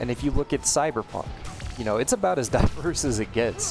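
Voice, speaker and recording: Music plays behind a man as he talks. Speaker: video essayist. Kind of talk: video essay commentary over gameplay. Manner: some stuttering, filler words.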